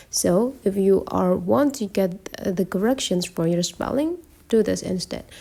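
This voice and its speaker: In a non-native accent, the voice has a dark, mellow tone and lively intonation. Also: woman. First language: not English. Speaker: tech tutorial creator. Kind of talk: tutorial.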